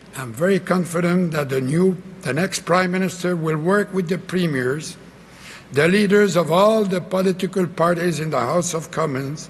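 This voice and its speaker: A man with a Quebec accent, high in pitch, at a moderate pace, with ordinary pitch variation. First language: French. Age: 80s+. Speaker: former prime minister. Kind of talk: political convention speech. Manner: feisty.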